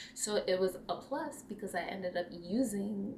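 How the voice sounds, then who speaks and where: Speaking with a non-native accent, a woman uses a fairly high pitch and ordinary pitch variation. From New York. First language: not English. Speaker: cross-stitch vlogger. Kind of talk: casual chat.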